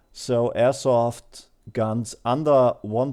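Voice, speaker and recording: A man with a German accent, a dark, mellow tone and medium pitch, speaking at a very slow pace with fairly even intonation, on a very clean recording with a silent background. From Germany. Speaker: airsoft hobbyist video maker. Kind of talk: tutorial voice-over. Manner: halting, many fillers.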